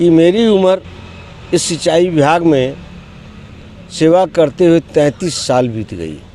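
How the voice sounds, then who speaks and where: A man with a fairly high pitch and lively intonation talks through noticeable background noise. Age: 70s. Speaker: union leader on hunger strike. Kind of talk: protest statement to press.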